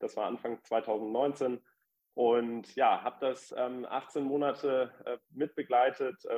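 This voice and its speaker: A man's medium-pitched voice, monotone and flat in intonation, at a very slow pace. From Hamburg, northern Germany. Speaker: startup founder and lawyer. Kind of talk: interview. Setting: remote call into live podcast audience. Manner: frequent fillers (äh, ähm).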